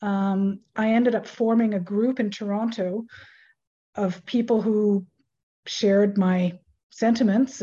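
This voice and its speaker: Somewhat breathy and dark, mellow in tone, the voice moves at a fairly slow pace with fairly even intonation. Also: woman. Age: 60s. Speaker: author. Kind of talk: interview.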